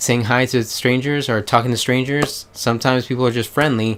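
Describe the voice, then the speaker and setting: A man with an American accent, medium pitch and a moderate pace. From United States. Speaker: YouTuber. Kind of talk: casual vlog commentary. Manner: halting, self-correcting.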